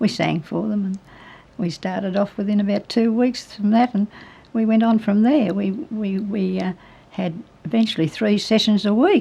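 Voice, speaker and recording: The speaker has an Australian accent and ordinary pitch variation. The pace is moderate. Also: woman, medium pitch for a woman. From New South Wales, Australia. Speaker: retired radio and opera singer. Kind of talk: interview answer.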